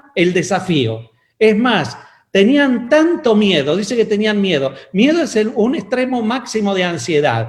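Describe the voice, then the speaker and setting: Pitched high, a man talks at a fairly slow pace with very wide pitch swings, and audible room echo surrounds him. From Argentina (Mendoza). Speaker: pastor and physician. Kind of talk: sermon.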